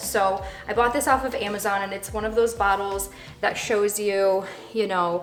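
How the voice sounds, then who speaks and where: A woman with a medium pitch talks at a fairly quick pace, with audible room echo and noticeable background noise. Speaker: lifestyle vlogger. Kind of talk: vlog voiceover. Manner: casual, chatty.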